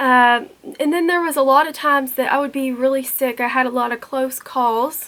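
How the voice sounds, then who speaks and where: Her high-pitched voice moves at a moderate pace, and this woman keeps her intonation fairly even. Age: 20s. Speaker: YouTuber with cystic fibrosis. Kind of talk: personal vlog storytelling. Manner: casual, conversational.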